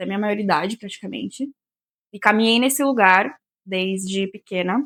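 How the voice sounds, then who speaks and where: In a plain, everyday voice, a woman speaks at medium pitch and a moderate pace with ordinary pitch variation, the sound dry and close with no echo. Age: 20s. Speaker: podcast guest. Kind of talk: casual chat.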